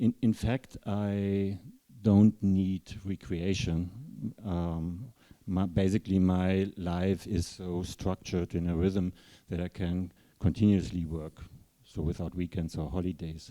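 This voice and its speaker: With a German accent, a man speaks at a fairly slow pace in a very deep, low, dark and mellow voice with fairly even intonation, recorded very cleanly against a silent background with a dry, close sound and no echo. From Germany, Rhede. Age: 60s. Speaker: writer. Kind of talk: panel discussion. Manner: halting.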